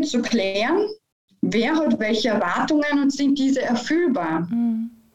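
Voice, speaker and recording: Her voice sits high, and her intonation is lively. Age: 40s. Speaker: business mediator and coach. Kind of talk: interview.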